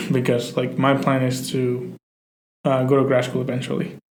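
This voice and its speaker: In a Spanish accent, a man of medium pitch talks at a fairly quick pace with fairly even intonation, and the room echo is audible. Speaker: podcast co-host. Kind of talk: casual chat. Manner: hesitant, many fillers.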